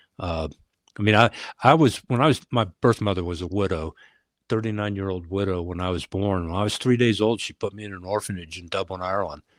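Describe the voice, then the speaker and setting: A man with an American accent at a very fast pace, fairly low in pitch with ordinary pitch variation and big swings in loudness, on a very clean recording with a silent background and a dry, close sound with no echo. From United States. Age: 60s. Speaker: retired police leader. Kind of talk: interview. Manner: halting.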